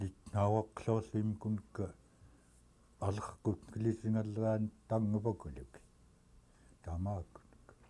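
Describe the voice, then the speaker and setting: A man speaks at a very slow pace with long, frequent pauses and fairly even intonation. His voice is fairly low-pitched, somewhat breathy and dark and mellow in tone. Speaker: community elder. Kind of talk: oral history interview.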